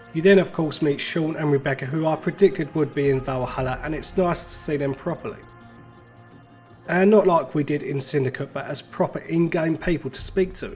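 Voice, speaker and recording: With music in the background, a man talks at a fairly quick pace, his fairly high pitch carrying fairly even intonation. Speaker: gaming YouTuber. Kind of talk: casual game review to camera.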